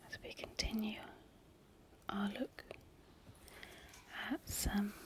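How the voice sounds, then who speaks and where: Whispering in a gentle tone. The pace is very slow. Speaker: ASMR creator who cleans and looks after a pub. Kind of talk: soft reading of old newspaper clippings (ASMR). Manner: soft-spoken, gentle, slow.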